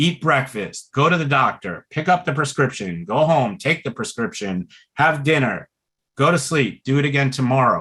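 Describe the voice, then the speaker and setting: Speaking in an American accent, a man uses a fairly high pitch and a bright, sharp tone, with lively intonation and vocal fry. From Brooklyn, New York. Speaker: pulmonary rehab doctor. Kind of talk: webinar talk. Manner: slow, relaxed tonight.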